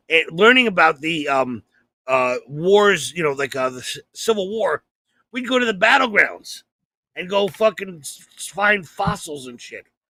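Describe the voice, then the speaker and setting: Bright and sharp in tone, a man's voice makes very wide pitch swings, recorded dry and close with no echo against a silent background on a very clean recording. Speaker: comedian and podcast co-host. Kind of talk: casual chat. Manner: halting, repeats words.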